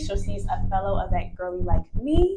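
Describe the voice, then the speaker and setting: The speaker's animated tone rides very wide pitch swings at a moderate pace over noticeable background noise. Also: woman. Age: young. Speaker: event producer and vlogger. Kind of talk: casual interview chat.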